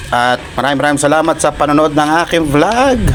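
A man keeps a moderate pace while noticeable noise sounds behind him. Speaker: cooking vlogger. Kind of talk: cooking tutorial. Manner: casual, hesitant with fillers.

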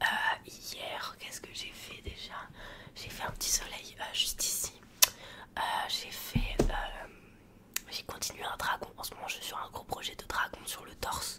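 Whispering and soft-spoken over loud background noise, a woman speaks at a fairly slow pace with long, frequent pauses. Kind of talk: soft ASMR role-play chat. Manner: soft ASMR near-whisper close to mic. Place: home room. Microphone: studio mic.

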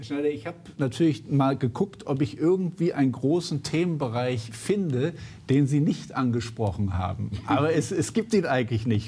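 A dark, mellow voice with lively intonation, moderate pace and few pauses. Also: man, medium pitch for a man.

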